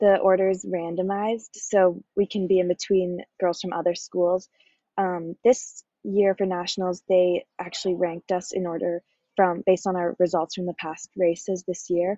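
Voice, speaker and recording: At a moderate pace, a woman talks at a medium pitch. She has an unremarkable speaking voice. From Canada, British Columbia. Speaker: college triathlete. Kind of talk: interview.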